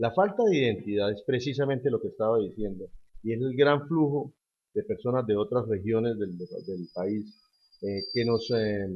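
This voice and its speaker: A man with a Cúcuta accent, medium in pitch, fairly slow, with ordinary pitch variation. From Colombia, Cúcuta. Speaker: politician, gubernatorial candidate. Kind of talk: interview. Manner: forceful speaking style; halting, many fillers.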